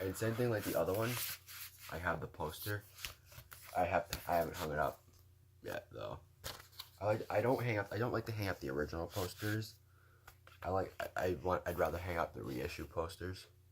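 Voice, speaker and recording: The voice is somewhat breathy. Long, frequent pauses break up the speech. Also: man, very deep, low pitch for a man, ordinary pitch variation, fairly quick pace. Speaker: vinyl collector vlogger. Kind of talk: casual show-and-tell video. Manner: fast.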